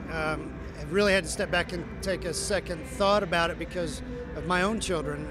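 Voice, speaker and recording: A man's dry voice with no echo, over noticeable background noise. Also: moderate pace. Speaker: interviewee. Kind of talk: interview answer. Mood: earnest, serious. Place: hall. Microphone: handheld.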